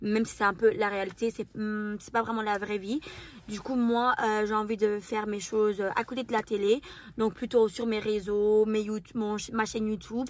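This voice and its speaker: This woman's pitch is fairly high, and her pace is moderate. Her intonation is monotone and flat. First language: not French (speaking French). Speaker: YouTuber and reality TV contestant. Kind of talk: Q&A interview. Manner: very expressive; mannered speech.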